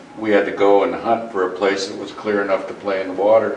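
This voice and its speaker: A man with fairly low pitch speaks at a moderate pace in a flat monotone. Noticeable background noise and audible room echo fill the recording. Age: 60s. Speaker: community member at public forum. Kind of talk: public comment at town forum. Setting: community center meeting.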